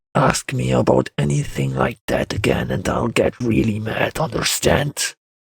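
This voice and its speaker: Growling in an angry tone, a man puts on a fairly low-pitched character voice with very wide pitch swings, recorded dry and close with no echo. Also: moderate pace. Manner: growling, angry.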